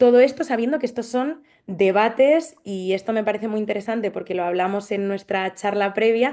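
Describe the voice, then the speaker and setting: Speaking with hardly any pauses, a woman has a dark, mellow tone. The background is quiet. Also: ordinary pitch variation, fairly quick pace. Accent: Madrid. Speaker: social anthropologist. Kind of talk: panel discussion. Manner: hesitant, with fillers.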